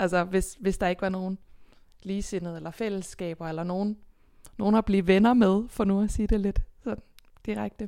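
The voice has a dark, mellow tone. Long pauses come often. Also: woman, medium pitch for a woman, fairly even intonation, moderate pace. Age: 20s. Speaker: folk high school teacher. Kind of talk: interview.

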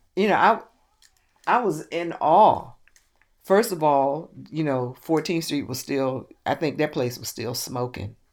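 A woman with an American accent and a very deep, low pitch speaks with long, frequent pauses. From Richmond, Virginia. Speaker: retired government clerk recalling her past. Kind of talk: oral history interview.

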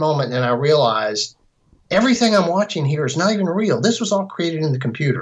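With a plain, everyday voice, a man talks at a moderate pace, using lively intonation and a fairly high pitch. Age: 50s. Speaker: filmmaker. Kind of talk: interview.

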